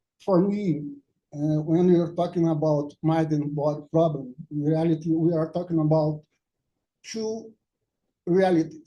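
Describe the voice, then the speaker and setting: This man has a Portuguese accent and a fairly high pitch. He speaks at a fairly slow pace with fairly even intonation and long, frequent pauses. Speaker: academic speaker. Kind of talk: conference talk. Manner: halting.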